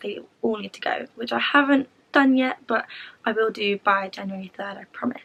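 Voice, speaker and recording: A woman's fairly high voice in a London accent, with ordinary pitch variation and big swings in loudness. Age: 20s. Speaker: student vlogger. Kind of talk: tutorial. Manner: fast.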